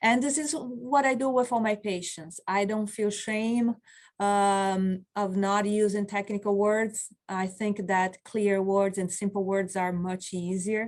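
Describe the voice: A woman's medium-pitched voice, fairly slow and fairly even in intonation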